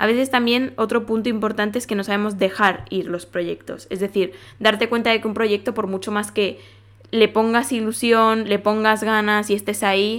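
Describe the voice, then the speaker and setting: The intonation is monotone and flat. The recording is very clean, with a silent background. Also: woman. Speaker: podcast host. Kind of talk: casual monologue. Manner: fast.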